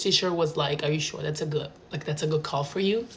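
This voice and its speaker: A woman speaks at a very fast pace with ordinary pitch variation. Noticeable background noise runs underneath. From Italy, small town. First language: Italian. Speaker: vlogger. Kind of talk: casual monologue. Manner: animated.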